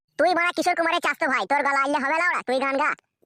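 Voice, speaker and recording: At a very fast pace, a woman performs a cartoonish character voice at a high pitch with ordinary pitch variation, very even loudness and a dry, close sound with no echo. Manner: coarse, swears constantly.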